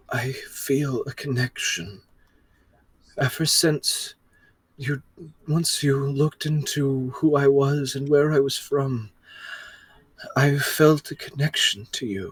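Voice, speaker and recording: Using a put-on character voice, a man speaks at fairly high pitch and a fairly slow pace. Long, frequent pauses break up his delivery. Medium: actual play. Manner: hesitant, stammering.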